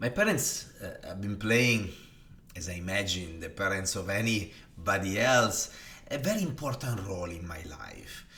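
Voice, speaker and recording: A man with an Italian accent speaks fairly slowly in a bright, sharp tone with very wide pitch swings and audible room echo. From northern Italy, Varese. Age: 40s. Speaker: design executive. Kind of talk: personal storytelling monologue. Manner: hesitant, with many fillers.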